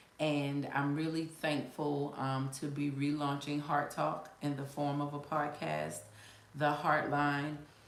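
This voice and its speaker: A woman talks at a very slow pace in an American accent, her pitch very deep and low. The recording carries noticeable background noise and audible room echo. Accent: Gullah Geechee. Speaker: life coach. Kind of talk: casual live-stream talk. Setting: live stream at computer. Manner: halting, with many fillers.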